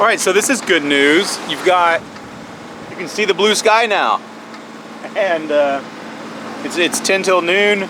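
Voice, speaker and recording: A man with a high pitch raises and projects his voice, speaking at a fairly slow pace with long, frequent pauses and ordinary pitch variation. Noticeable background noise runs underneath. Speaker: sailing vlogger. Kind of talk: casual vlog narration. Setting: outdoors on a sailboat at sea. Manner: loud.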